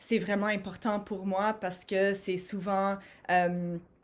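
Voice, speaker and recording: With an English accent, a woman speaks at a fairly slow pace in a monotone, flat intonation. The recording is very clean, with a silent background. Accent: English-speaker accent in French. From Montreal, Quebec (anglophone). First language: English (speaking French). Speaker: HR professional and conference speaker. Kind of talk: conference talk. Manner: hesitant, many fillers and repetitions.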